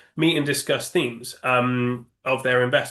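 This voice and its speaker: A man talks in a British accent. His tone is bright and sharp. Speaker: index options sales executive. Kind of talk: interview. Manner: halting, many fillers.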